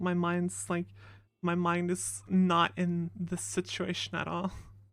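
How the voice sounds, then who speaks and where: Mumbling at a very slow pace, a woman with a fairly low pitch uses lively intonation. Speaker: streamer playing a roleplay character. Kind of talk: casual chat.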